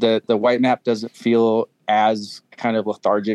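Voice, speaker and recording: Speaking in a monotone, flat intonation, a man goes at a fairly slow pace. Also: dry, close sound with no echo. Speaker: experienced adventure motorcycle rider. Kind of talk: casual chat. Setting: video call.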